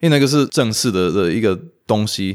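The background is silent and the recording very clean. A man talks at a fairly low pitch. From US (Romanian immigrant family). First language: Romanian (speaking Chinese). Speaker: language enthusiast, improv performer. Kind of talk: interview. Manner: halting, frequent repetitions.

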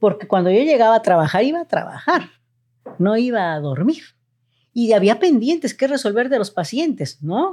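At a moderate pace, a woman with a fairly high pitch and a dark, mellow tone speaks with very wide pitch swings. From Mexico City. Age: 60s. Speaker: retired family physician. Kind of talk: interview storytelling.

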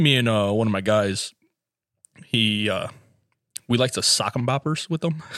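Speaking at a fairly slow pace with long, frequent pauses, a man at medium pitch uses ordinary pitch variation in a dry, close sound with no echo. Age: 20s. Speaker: podcast co-host. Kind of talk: casual chat.

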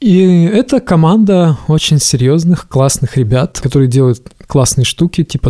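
A man's somewhat breathy, dark, mellow tone at a fairly slow pace with ordinary pitch variation. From rural Russia. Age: 30s. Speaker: hardware engineer and startup founder. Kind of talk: casual interview.

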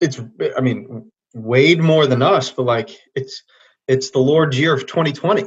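The voice is somewhat breathy, moving at a fairly slow pace with ordinary pitch variation and long, frequent pauses. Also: man, medium pitch for a man. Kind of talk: casual chat.

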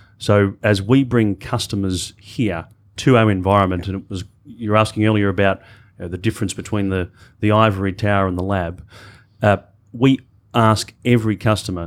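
Fairly even intonation at a moderate pace in an Australian accent, on a very clean recording with a silent background. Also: man. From Australia, Melbourne. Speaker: corporate digital executive. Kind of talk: panel discussion.

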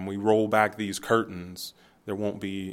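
In an American accent, a man talks at a moderate pace with a fairly low pitch. The recording is very clean, with a silent background. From US Midwest, Youngstown, Ohio. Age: 30s. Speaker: entrepreneur, market founder. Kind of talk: casual interview.

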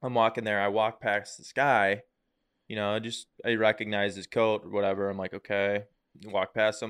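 A man's fairly low voice stays monotone and flat while its loudness swings widely. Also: moderate pace. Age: 20s. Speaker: podcast co-host. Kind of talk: casual chat.

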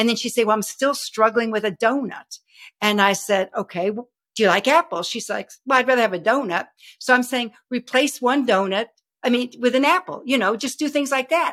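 A woman with a high voice talks at a fairly quick pace in an animated tone and lively intonation, recorded dry and close with no echo. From Texas. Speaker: health and wellness coach. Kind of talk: interview.

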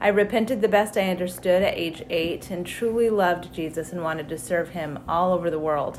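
A woman's fairly low voice at a fairly quick pace, hardly any pauses and ordinary pitch variation, amid noticeable background noise. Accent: American. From Wyoming, US. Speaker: church member sharing testimony. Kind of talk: testimony.

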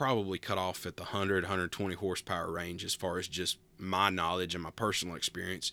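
A man speaks with a very deep, low pitch and an Appalachian accent, his tone relaxed yet bright and sharp. The sound is dry and close with no echo, on a very clean recording with a silent background. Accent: Southern Appalachian American. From US South, Western North Carolina (Appalachia, near Asheville). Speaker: podcast host, pastor. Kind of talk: casual solo talk. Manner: relaxed, with frequent filler words (uh, um).

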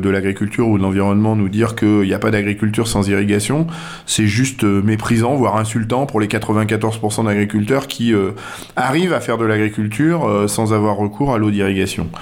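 A man speaks at a moderate pace in a fairly low pitch. Audible room echo and noticeable background noise surround him. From western France, near La Rochelle. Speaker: politician, farmer and agronomist. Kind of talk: radio interview. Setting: guest's office. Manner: hesitant, many fillers.

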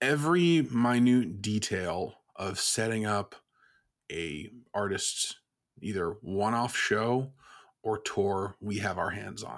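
The speaker has an American accent and talks at a very slow pace. Long pauses come often. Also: man, fairly low pitch for a man, lively intonation. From Vermont, US. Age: 20s. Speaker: music booking agent. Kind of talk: casual interview.

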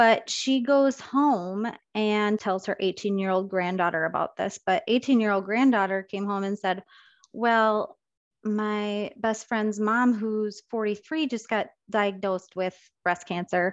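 Against a quiet background, a woman with an Upper Midwest accent speaks at a very slow pace. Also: medium pitch for a woman, ordinary pitch variation. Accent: Upper Midwest American. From Minnesota, US. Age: 30s. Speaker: nurse educator. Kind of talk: interview.

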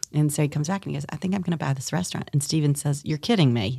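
A woman with an American accent speaks in a very deep, low pitch and a dark, mellow tone, with vocal fry and ordinary pitch variation. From US South, eastern North Carolina. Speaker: restaurant and brewery owner, author. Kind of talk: interview, personal storytelling.

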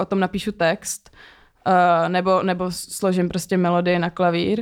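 The delivery is fairly slow. The recording is very clean, with a silent background. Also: woman. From Czech Republic. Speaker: singer-songwriter. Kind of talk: casual chat.

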